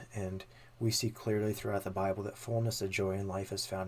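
A man with an unremarkable speaking voice talks at a fairly low pitch. He goes at a fairly quick pace with fairly even intonation. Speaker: podcast host. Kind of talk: discussion of theology, casual chat.

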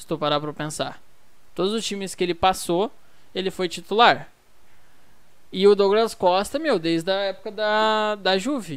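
A woman with a medium pitch talks at a fairly slow pace with lively intonation. The recording is very clean, the background silent. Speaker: football podcast host. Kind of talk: casual chat. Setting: at home.

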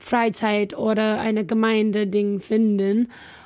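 A woman's dark, mellow tone at a fairly high pitch, with a very slow pace and fairly even intonation. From California, US. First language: English (speaking German). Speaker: missionary. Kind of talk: casual chat. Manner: halting.

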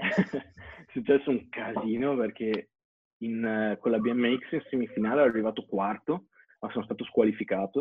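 A man with an unremarkable speaking voice talks at a fairly slow pace, at medium pitch with ordinary pitch variation. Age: 20s. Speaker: BMX athlete. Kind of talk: interview.

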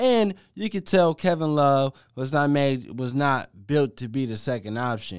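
A man with an American accent, a fairly high pitch, lively intonation and a moderate pace, in a very clean recording with a silent background. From US Midwest, Cleveland, Ohio. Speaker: sports podcast host. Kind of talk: casual solo sports talk. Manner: animated.

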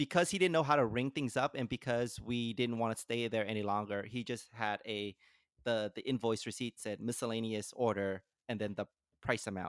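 In a very clean recording with a silent background and a dry, close sound with no echo, a man speaks at a moderate pace and a medium pitch with ordinary pitch variation in a plain, everyday voice. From California. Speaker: podcast host. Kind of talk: casual chat. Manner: laughs often.

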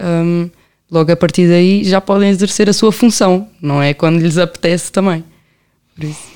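A woman speaks at a fairly low pitch with a dark, mellow tone and fairly even intonation. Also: moderate pace. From Portugal, Amadora (Lisbon area). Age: 20s. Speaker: law graduate running a youth help project. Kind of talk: casual interview chat.

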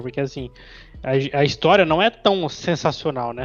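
A man talks in a normal speaking voice at a fairly high pitch. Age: 20s. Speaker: podcast co-host. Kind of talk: casual chat.

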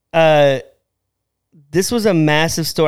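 A man's high-pitched voice in an animated tone. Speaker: podcast co-host. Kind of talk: casual chat. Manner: joking, animated.

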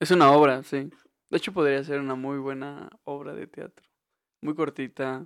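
In a Mexican accent, a man talks at a moderate pace with a fairly high pitch, fairly even intonation and big swings in loudness. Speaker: podcast co-host, university student. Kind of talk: casual chat.

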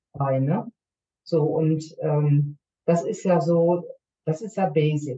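A woman's somewhat breathy, very deep, low voice with ordinary pitch variation, at a very slow pace broken by long, frequent pauses. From Germany. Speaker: nurse and intercultural coach. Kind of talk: podcast interview.

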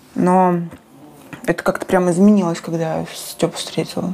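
At a moderate pace and a medium pitch, a woman talks while noticeable background noise carries on behind her. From Krasnodar, southern Russia. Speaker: screenwriter and film director. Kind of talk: interview conversation.

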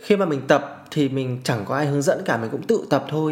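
A man's very fast, fairly high-pitched speech amid noticeable background noise. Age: 30s. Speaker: podcast host. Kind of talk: solo podcast monologue.

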